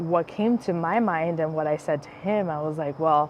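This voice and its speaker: A woman with an American accent, a plain, everyday voice, fairly low pitch, ordinary pitch variation and a moderate pace. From United States, Spanish-speaking family. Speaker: podcast host. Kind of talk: casual chat. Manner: many filler words, um and like.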